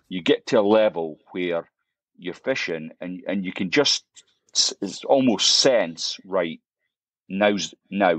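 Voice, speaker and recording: A man talks with a Scottish accent. The sound is dry and close, with no echo. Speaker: fly fishing YouTuber. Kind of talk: podcast interview. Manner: halting, many repetitions.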